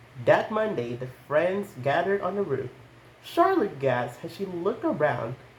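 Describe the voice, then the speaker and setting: With lively intonation and a high pitch, a man talks at a moderate pace over noticeable background noise. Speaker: storytime YouTuber. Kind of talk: reading aloud; casual chat.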